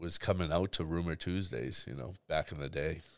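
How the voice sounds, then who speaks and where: A man with a Boston accent and a very deep, low pitch speaks at a fairly slow pace with vocal fry and ordinary pitch variation, on a very clean recording with a silent background. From Boston, West Roxbury. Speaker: nightlife promoter. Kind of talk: casual chat.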